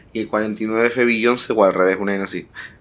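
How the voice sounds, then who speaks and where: The speaker is a man with medium pitch and an unremarkable speaking voice. Intonation stays fairly even. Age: 20s. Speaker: podcast co-host. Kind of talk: casual chat.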